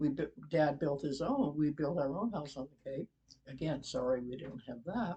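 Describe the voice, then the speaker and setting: In an American accent, a woman with a very deep, low, somewhat breathy voice speaks at a moderate pace. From New England, Massachusetts (Easton). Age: 80s+. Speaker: interview guest, relative of host. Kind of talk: casual interview. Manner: reminiscing, conversational with hesitations.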